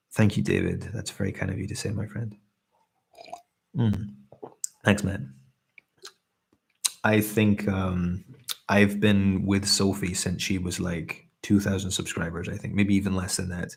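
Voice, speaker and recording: With a Scottish accent and a fairly low pitch, a man speaks at a fairly slow pace in a monotone, flat intonation, somewhat breathy and with long, frequent pauses. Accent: mellow Scottish. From Scotland. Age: 30s. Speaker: ASMR streamer. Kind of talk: casual chat. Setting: live stream. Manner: relaxed; hesitant.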